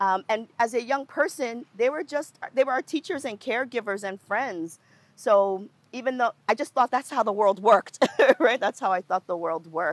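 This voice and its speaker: A woman speaks at a moderate pace in a normal speaking voice, with an American accent and fairly high pitch. Her intonation is lively, and the sound is dry and close with no echo. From New York City. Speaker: nonprofit co-director and community organizer. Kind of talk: interview conversation.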